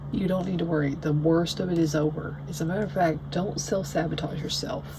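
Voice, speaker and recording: A woman speaks with a Southern US accent. Background noise is noticeable and the room echo is audible. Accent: Southern US country. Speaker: tarot reader. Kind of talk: tarot reading monologue. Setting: at home. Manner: rambling, many fillers.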